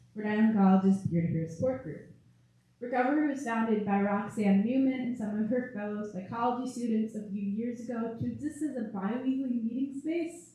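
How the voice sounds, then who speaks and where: A woman with a fairly high, somewhat breathy voice and a dark, mellow tone speaks at a fairly quick pace with ordinary pitch variation, and audible room echo surrounds her. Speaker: student club president. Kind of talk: prepared panel speech.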